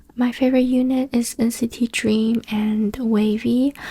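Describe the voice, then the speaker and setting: Speech with a Chinese accent over noticeable background noise. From China. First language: Chinese (Mandarin). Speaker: ASMR YouTuber. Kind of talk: casual Q&A talk. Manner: soft-spoken.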